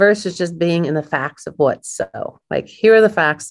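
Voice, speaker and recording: Over a quiet background, a woman with an American accent talks at a fairly quick pace in a fairly low pitch. Hers is an unremarkable speaking voice with ordinary pitch variation. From US Midwest, Kansas City. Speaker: leadership coach and author. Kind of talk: interview.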